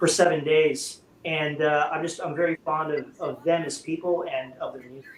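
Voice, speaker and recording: Noticeable background noise accompanies a man with an American accent. His voice has a fairly high pitch. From US West Coast, Bay Area. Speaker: rock guitarist. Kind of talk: casual interview chat. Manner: loud.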